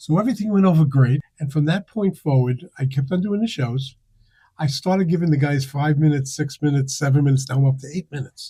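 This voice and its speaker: A man with a fairly high pitch speaks at a very fast pace, his somewhat breathy voice dark and mellow in tone, with ordinary pitch variation and a dry, close sound with no echo. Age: 70s. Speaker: comedy producer and comedian. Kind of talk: casual interview chat.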